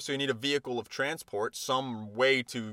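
A man's animated, bright and sharp voice, recorded very clean with a silent background and a dry, close sound with no echo. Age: 20s. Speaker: fitness coach and podcast host. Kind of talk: casual solo monologue.

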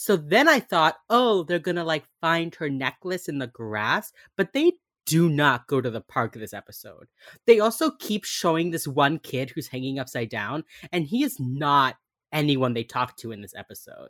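Recorded dry and close with no echo, a man with a fairly high voice swings very widely in pitch and shifts greatly in loudness. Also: moderate pace, very clean recording, silent background. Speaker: podcast co-host. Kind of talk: casual chat. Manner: soft-spoken.

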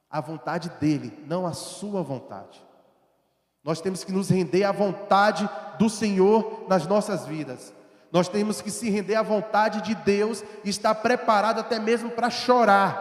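A man at a high pitch and a fairly slow pace. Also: ordinary pitch variation. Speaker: preacher. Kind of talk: sermon. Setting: church. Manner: rhetorical questions and fervent exhortation; earnest, urgent, pleading.

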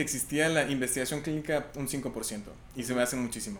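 A man's voice carries audible room echo. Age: 20s. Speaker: medical researcher. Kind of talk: casual interview.

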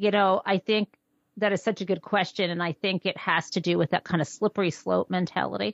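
Delivered at a fairly quick pace with an American accent, the speech has a dry, close sound with no echo and a quiet background. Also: woman, medium pitch for a woman. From US Midwest. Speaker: author. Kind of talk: interview.

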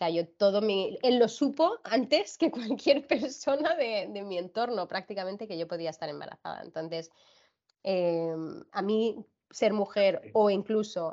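With lively intonation and a moderate pace, a woman talks in an unremarkable speaking voice. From grew up abroad: China, France, United States. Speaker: brand director in pharmaceutical industry. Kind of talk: interview conversation.

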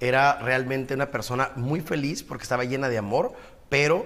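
This man talks at a moderate pace. His intonation is monotone and flat. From Ensenada, Baja California, Mexico. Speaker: broadcaster and businessman. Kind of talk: interview.

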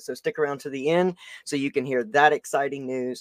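In a Southern US accent, the speaker talks at a fairly quick pace with an animated tone and ordinary pitch variation, in a dry, close sound with no echo. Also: man. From US South. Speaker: podcast host. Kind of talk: casual interview chat.

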